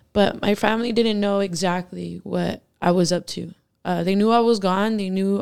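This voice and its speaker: A woman talks at a moderate pace and medium pitch with fairly even intonation. Hers is a plain, everyday voice. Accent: American. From Washington. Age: 20s. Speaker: person in addiction recovery. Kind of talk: interview testimony.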